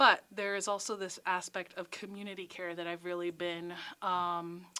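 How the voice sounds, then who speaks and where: Speaking at a moderate pace with an American accent, a woman uses a medium-pitched, bright, sharp voice and monotone, flat intonation on a very clean recording with a silent background. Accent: Bronx accent, mostly hidden now. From New York City, the Bronx. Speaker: college counseling director, psychologist. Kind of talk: interview. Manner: casual, chatty.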